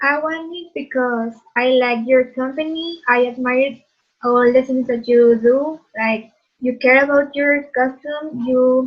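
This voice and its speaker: A woman's very slow, high-pitched speech with a Spanish accent and fairly even intonation. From Mexico. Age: 30s. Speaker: job candidate. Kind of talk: role-play job interview.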